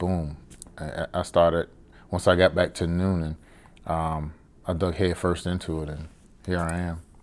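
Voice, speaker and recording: A man's very deep, low voice with a Southern US accent, monotone and flat in intonation, at a fairly slow pace. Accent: Southern US (Georgia). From US South, Savannah, Georgia. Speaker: cigar lounge owner, retired Navy chief. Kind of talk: casual interview. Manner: hesitant, many fillers.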